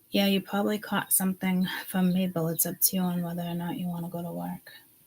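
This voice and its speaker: Somewhat breathy and fairly low in pitch, a woman rushes along at a very fast pace with fairly even intonation. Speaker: psychic content creator. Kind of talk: casual vlog chat.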